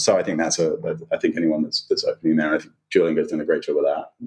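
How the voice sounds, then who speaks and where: This is a man's voice. He speaks with a British accent. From UK. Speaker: chief marketing officer. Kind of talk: interview. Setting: remote recording.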